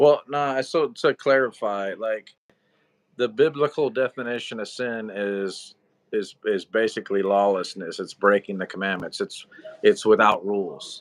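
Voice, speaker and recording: The sound is dry and close, with no echo. Speech moves at a fairly slow pace with ordinary pitch variation. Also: man, medium pitch for a man. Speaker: Bible study livestream co-host. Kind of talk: live stream chat about the Bible. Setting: livestream. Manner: halting, repeats words.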